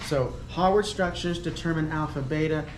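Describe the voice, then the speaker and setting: Noticeable background noise beneath fairly quick speech. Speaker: chemistry professor. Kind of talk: lecture. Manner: hesitant, many fillers.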